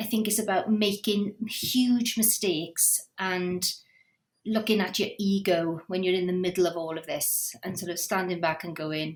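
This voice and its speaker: A woman at medium pitch, with fairly even intonation and a moderate pace. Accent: Welsh. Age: 50s. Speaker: theatre director. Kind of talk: podcast interview.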